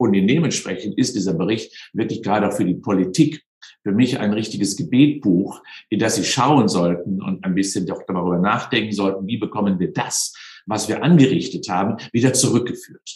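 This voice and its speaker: A man talks at a moderate pace with a fairly low pitch. It is a plain, everyday voice with ordinary pitch variation. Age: 60s. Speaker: sports science professor. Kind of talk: interview.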